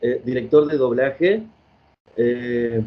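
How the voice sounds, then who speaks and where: The man speaks at a very slow pace. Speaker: radio host. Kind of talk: radio interview questions.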